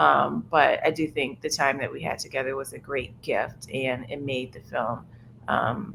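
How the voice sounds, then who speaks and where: With a New Orleans accent, a woman talks at a fairly slow pace, her loudness swinging widely. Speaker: documentary filmmaker. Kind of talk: roundtable discussion. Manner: casual, filler-heavy.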